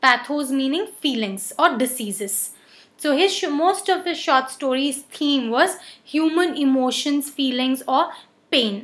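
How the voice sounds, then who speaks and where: A woman's high-pitched voice moves fairly slowly, her intonation lively throughout. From India. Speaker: online teacher; teacher. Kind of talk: lecture. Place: home room. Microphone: webcam.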